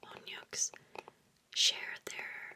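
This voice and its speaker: Whispering comes through at a very slow pace over noticeable background noise. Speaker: ASMR content creator. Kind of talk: ASMR whisper reading of facts. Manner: whispered, soft-spoken.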